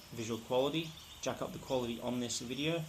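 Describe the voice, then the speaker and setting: Audible room echo and noticeable background noise surround the speaker. He is a man with an Australian accent, talking at a fairly quick pace. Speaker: tech reviewer. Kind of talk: product review vlog. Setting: recorded on camera glasses. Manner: fast.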